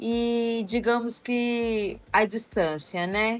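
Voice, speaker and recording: Over music in the background, a woman with a Goiás accent and a fairly high pitch speaks at a very slow pace. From Brazil, Amazonas, raised in Goiânia. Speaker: university professor. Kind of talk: interview conversation. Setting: podcast recording.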